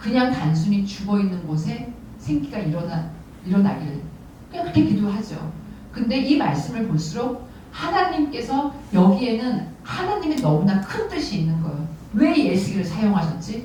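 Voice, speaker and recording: A woman's medium-pitched voice with very wide pitch swings, audible room echo and noticeable background noise. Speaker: parents' prayer group leader, guest speaker. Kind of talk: sermon. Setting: church service. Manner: fast.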